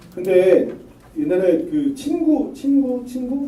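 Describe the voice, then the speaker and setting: Very wide pitch swings mark this man's voice, heard with audible room echo. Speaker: lawyer giving a lecture. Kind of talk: lecture.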